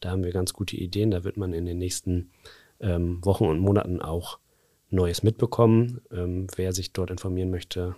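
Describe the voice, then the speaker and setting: A man with a very deep, low pitch and a dark, mellow tone speaks at a moderate pace with fairly even intonation, the sound dry and close with no echo on a very clean recording with a silent background. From northwest Germany, Dümmer lake region. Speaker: advertising agency owner and association chairman. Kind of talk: casual interview.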